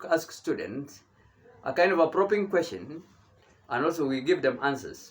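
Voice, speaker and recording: Talking at a fairly quick pace, a man has a fairly high pitch. Noticeable background noise sits behind him. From Kenya. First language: Kenyan mother tongue. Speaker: bishop and theology teacher. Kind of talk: sermon. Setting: at home. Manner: halting.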